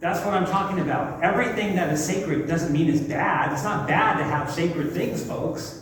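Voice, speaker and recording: A man talks at a moderate pace. The recording has audible room echo and noticeable background noise. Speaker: pastor leading a church seminar. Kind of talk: seminar talk to congregation. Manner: loud and passionate, sounds like yelling.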